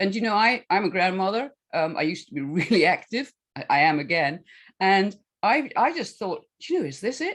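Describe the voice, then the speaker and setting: At a fairly quick pace, a woman of medium pitch speaks in a Scottish accent with very wide pitch swings. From Scotland. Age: 70s. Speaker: health coach and author. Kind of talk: casual chat. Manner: halting.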